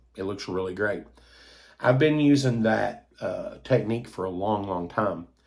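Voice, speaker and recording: With an Appalachian accent, a man speaks fairly slowly in a fairly low pitch. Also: ordinary pitch variation. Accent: Appalachian Kentucky. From US South, Eastern Kentucky. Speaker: toy collector YouTuber. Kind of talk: casual monologue. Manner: hesitant, many fillers.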